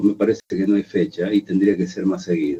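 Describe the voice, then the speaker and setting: This is a man speaking. His pace is moderate. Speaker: radio host. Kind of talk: radio interview.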